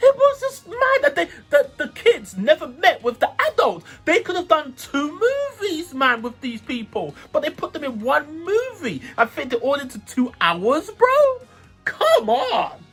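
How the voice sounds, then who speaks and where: Over music in the background, the animated speaker talks at a fairly slow pace with very wide pitch swings. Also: man, extremely high pitch for a man. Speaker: youtube movie reviewer. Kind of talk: casual movie review monologue.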